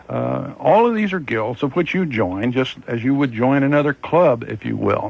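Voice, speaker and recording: Speaking at a moderate pace, a man barely pauses at all. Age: 60s. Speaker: fair master of ceremonies. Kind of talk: radio interview.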